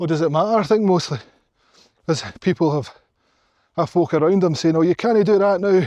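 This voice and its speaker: Speaking in a Glaswegian accent, a man with a high pitch and a dark, mellow tone moves at a fairly quick pace broken by long, frequent pauses. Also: ordinary pitch variation. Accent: Glaswegian Scottish. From Scotland, Glasgow. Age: 40s. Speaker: hiking vlogger. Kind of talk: casual vlog monologue. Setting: outdoors on a mountain hike. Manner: animated.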